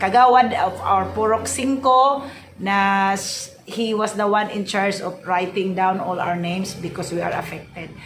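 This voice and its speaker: Audible room echo surrounds a woman with a Visayan Filipino accent who speaks with ordinary pitch variation. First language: Cebuano (Bisaya). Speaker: vlogger. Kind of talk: casual vlog, unboxing. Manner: halting, many fillers.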